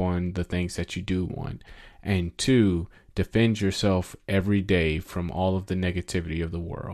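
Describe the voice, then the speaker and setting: Against a quiet background, a man speaks in a very deep, low voice. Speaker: podcast host. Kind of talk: podcast intro and outro commentary.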